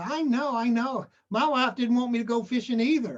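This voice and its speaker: Someone uses a put-on character voice pitched fairly high. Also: moderate pace. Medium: solo performance.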